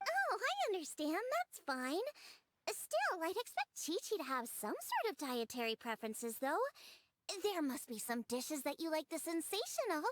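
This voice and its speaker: A woman's put-on character voice, extremely high in pitch, at a moderate pace with a dry, close sound and no echo. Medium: video game. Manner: bubbly, energetic.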